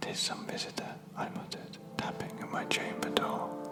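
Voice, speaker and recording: A man whispering at a fairly slow pace, with noticeable background noise. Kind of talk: poetry reading, ASMR sleep. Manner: whispered.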